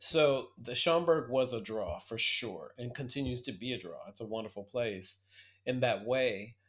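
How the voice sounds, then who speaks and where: A man's unremarkable speaking voice at medium pitch and moderate pace, with ordinary pitch variation and big swings in loudness. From US Midwest, Toledo, Ohio. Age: 50s. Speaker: archivist. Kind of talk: interview.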